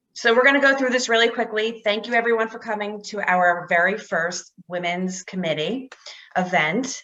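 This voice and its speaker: A woman's bright, sharp tone with ordinary pitch variation. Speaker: commercial real estate broker. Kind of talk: event hosting on video call. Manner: fast.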